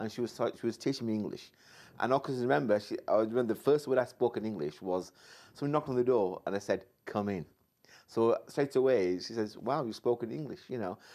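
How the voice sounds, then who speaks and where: With a dark, mellow tone, a man's speech moves fairly quickly. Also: very clean recording, silent background. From Sheffield, northern England (Pakistani-born). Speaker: business mentor and teacher. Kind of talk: interview. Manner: halting, many repetitions and fillers.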